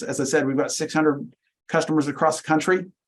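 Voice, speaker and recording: This man speaks at a fairly high pitch. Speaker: software company representative. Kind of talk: webinar presentation. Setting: video call. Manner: fast.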